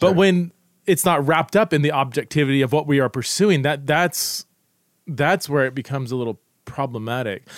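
In a normal speaking voice with a dry, close sound and no echo, a man talks at a fairly quick pace and a fairly high pitch, with ordinary pitch variation. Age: 40s. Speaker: podcast host. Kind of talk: casual chat.

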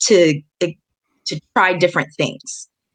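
A woman's medium-pitched, ordinary speaking voice at a fairly slow pace, dry and close with no echo. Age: 30s. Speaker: musician and bus driver. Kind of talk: casual interview.

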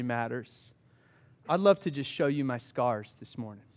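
Here a man speaks with a Southern US accent at a fairly slow pace. The recording is very clean, with a silent background. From US South, Charleston, South Carolina. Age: 30s. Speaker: pastor. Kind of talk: sermon. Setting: church.

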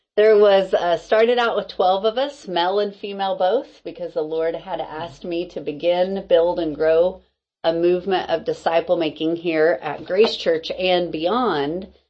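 Speaking at a moderate pace with hardly any pauses, a woman with a fairly low pitch uses ordinary pitch variation and a warm, animated tone. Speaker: podcast host and discipleship group leader. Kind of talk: casual interview chat. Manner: warm, animated, laughs often.

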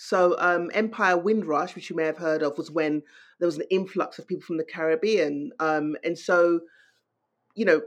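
A woman's fairly low voice with a London accent, fairly quick pace, and a quiet background. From London, England. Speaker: novelist. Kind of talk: interview.

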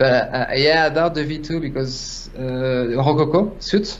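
With a French accent, a man talks at a very slow pace. Noticeable background noise is present. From France. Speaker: 3D artist. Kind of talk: casual interview. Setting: video call. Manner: halting.

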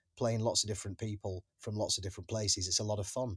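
A man's somewhat breathy, fairly low-pitched voice with monotone, flat intonation, dry and close with no echo, on a very clean recording with a silent background. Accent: English. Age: 40s. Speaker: actor. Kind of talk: interview. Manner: halting.

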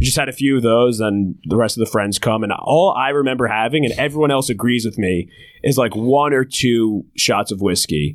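On a very clean recording with a silent background, a man with a normal speaking voice talks at a medium pitch and a fairly quick pace, with ordinary pitch variation and hardly any pauses. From New Jersey shore. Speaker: comedian and comedy show producer. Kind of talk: casual chat.

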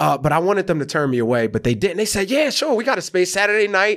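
Speaking with an American accent at a very fast pace, a high-pitched man swings his pitch very widely while keeping his loudness very even. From US South, rural Georgia. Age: 30s. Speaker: comedian and actor. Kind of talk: casual chat.

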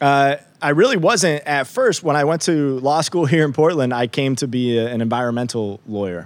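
In a plain, everyday voice, a man with a fairly high pitch talks at a moderate pace with lively intonation and hardly any pauses. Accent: American. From upstate New York. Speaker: district attorney. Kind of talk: interview.

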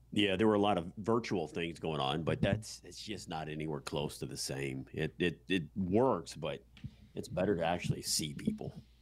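A man's very deep, low voice with vocal fry, lively intonation and a moderate pace. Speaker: podcast co-host, real estate investor. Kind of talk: casual podcast chat.

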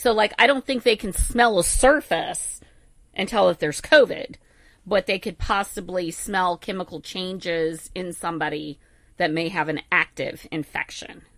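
A plain, everyday voice from a woman at medium pitch, with lively intonation and a moderate pace. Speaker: veterinarian. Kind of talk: radio call-in show. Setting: studio.

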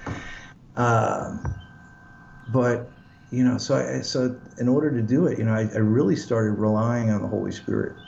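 With audible room echo, a man speaks at medium pitch and a moderate pace, his intonation fairly even and his speech broken by long, frequent pauses. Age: 50s. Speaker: pastor. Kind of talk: casual chat. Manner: halting.

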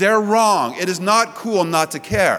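Noticeable background noise fills the recording. A man is talking. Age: 40s. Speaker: pastor. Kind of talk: sermon. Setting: church.

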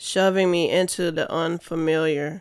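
In a very clean recording with a silent background, a woman speaks at a fairly slow pace. Her fairly low voice stays monotone, with flat intonation. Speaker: spoken word poet and podcast host. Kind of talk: spoken word poetry performance, read aloud. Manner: emotive, rhythmic, introspective.

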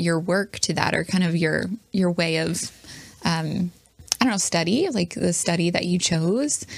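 A woman speaks fairly slowly at a medium pitch with ordinary pitch variation. It is a normal speaking voice. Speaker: podcast host. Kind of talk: casual interview chat. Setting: studio.

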